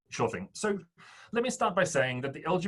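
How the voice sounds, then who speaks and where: This man talks with an Australian accent and lively intonation. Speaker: fintech startup founder. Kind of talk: interview.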